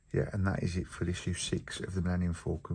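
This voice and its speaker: Deep and very low in pitch, a man with an English accent talks with vocal fry and fairly even intonation. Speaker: model building youtuber. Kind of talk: tutorial. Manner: casual.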